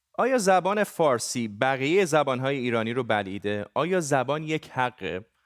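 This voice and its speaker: A man speaks at a moderate pace with lively intonation and a Gilan accent. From Iran, Gilan. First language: Gilaki (speaking Persian). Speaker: TV news anchor. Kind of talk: news presenting.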